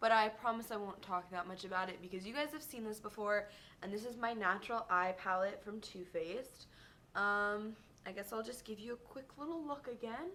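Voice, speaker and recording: Bright and sharp in tone, this woman's fairly high voice moves at a fairly quick pace with ordinary pitch variation. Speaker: beauty vlogger. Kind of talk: casual product review vlog. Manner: fast; animated. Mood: chatty, enthusiastic. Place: home room. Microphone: webcam.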